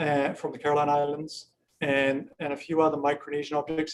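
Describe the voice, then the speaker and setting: Speaking at a fairly quick pace, a man with a New Zealand accent has a fairly high pitch. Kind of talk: informal virtual gallery tour with Q&A. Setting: video call. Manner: hesitant, many fillers and repeats.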